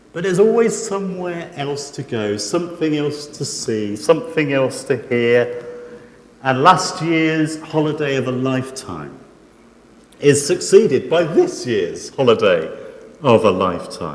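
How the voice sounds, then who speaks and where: A man's fairly high voice with very wide pitch swings and a fairly slow pace, amid noticeable background noise and audible room echo. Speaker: preacher. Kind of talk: sermon. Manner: soft-spoken; halting.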